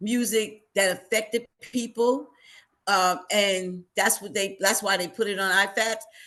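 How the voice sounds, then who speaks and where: Speaking with an American accent, a woman uses a bright, sharp tone at medium pitch, fairly even intonation and a fairly slow pace. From New Jersey, Hackensack. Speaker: military veteran. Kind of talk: interview.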